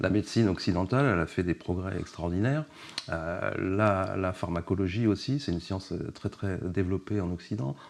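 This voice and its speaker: A man speaks with a very deep, low pitch. His pace is moderate and his pitch variation is ordinary. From Paris region, France. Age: 60s. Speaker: journalist and author. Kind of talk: casual interview. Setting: at the guest's home.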